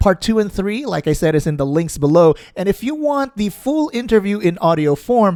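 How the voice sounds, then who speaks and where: A man with a dark, mellow tone, very wide pitch swings and a moderate pace. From Philippines, Visayas. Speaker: gaming YouTuber. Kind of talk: video intro then interview.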